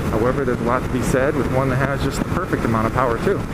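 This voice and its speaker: Loud noise fills the background. A man talks over it. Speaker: motorcycle rider vlogger. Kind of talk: casual vlog chat. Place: motorbike. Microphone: helmet.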